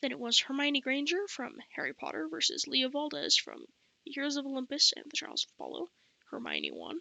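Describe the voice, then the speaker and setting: A woman talks at a fairly quick pace, with big swings in loudness. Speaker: book reviewer. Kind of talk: casual monologue.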